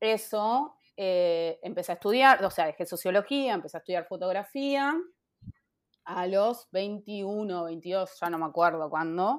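Speaking at a very slow pace, a woman with a medium-pitched voice and lively intonation is heard on a very clean recording with a silent background. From Buenos Aires, Argentina (Castelar). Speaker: photographer. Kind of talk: interview.

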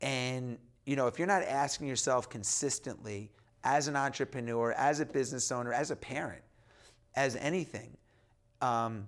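In a very clean recording with a silent background, a man with an ordinary speaking voice and an American accent talks at a fairly quick pace and a fairly high pitch. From US Northeast, New York. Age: 40s. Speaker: entrepreneur and author. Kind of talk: casual interview chat.

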